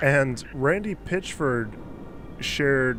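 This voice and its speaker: A man's voice comes through with noticeable noise in the background. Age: 20s. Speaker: gaming streamer. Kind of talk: casual chat. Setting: live stream. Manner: halting.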